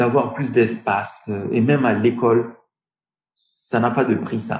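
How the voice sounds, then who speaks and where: Speaking at a very slow pace, a man's medium-pitched voice comes across somewhat breathy. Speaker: tech entrepreneur. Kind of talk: interview. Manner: halting.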